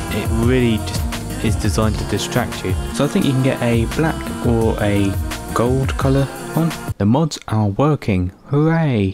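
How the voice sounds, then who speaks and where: Over music in the background, a man with a fairly low pitch speaks at a moderate pace, his voice making very wide pitch swings. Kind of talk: casual talk to camera.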